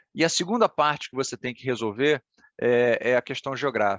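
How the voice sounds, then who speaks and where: A man's voice sits at a medium pitch, varying in pitch in an ordinary way as he talks at a moderate pace. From Ceará, Brazil. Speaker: political analyst. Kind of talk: event talk. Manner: conversational, many fillers.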